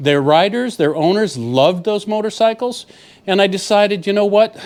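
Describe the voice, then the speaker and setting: A man with a high pitch speaks at a moderate pace with lively intonation. The recording is very clean, with a silent background. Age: 70s. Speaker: motorcycle travel vlogger. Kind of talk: casual vlog talk to camera. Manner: casual, with frequent filler words.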